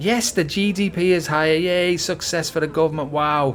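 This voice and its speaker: Over noticeable background noise, a man with a British accent speaks at a moderate pace in a fairly high pitch. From UK. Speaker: political commentator. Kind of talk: opinion monologue.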